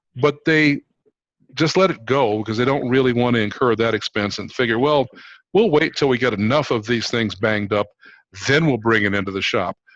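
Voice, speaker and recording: A man with a normal speaking voice talks at a fairly quick pace. His pitch is medium, with ordinary pitch variation. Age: 60s. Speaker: fleet maintenance business owner. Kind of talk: video call panel discussion.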